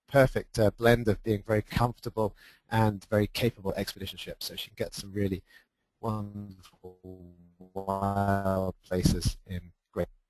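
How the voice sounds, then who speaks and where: Speaking in a British accent at a moderate pace, a man keeps a fairly low, flat monotone while music plays in the background. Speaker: expedition leader. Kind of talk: webinar presentation. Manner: halting, many fillers.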